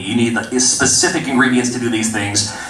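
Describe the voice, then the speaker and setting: Against noticeable background noise and audible room echo, a man at medium pitch talks at a fairly quick pace. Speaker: indie game developer. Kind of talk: convention panel talk. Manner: fast.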